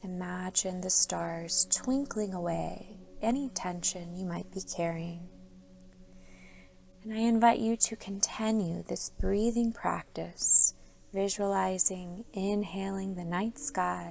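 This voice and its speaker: Over noticeable background noise, a woman talks at a very slow pace in a medium pitch, with ordinary pitch variation and big swings in loudness. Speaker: meditation guide. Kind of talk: guided sleep meditation. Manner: soft-spoken, slow.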